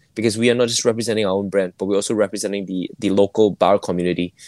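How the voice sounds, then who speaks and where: In a dry, close recording with no echo, a man speaks at a fairly low pitch with fairly even intonation. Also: very clean recording, silent background. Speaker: bar co-owner. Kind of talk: interview.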